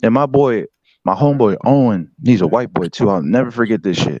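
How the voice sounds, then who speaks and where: This man has an ordinary speaking voice at a medium pitch, moving at a fairly quick pace with lively intonation. The sound is dry and close, with no echo. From US Pacific Northwest (Washington state), born in Detroit. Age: 20s. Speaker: livestream guest. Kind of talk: casual chat. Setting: online live stream. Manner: relaxed, filler-heavy.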